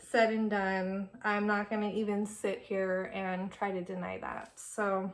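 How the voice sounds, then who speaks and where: Very slow delivery in a flat, monotone intonation. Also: woman. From California. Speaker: beauty vlogger. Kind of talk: casual chat. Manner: casual, filler-heavy with many ums.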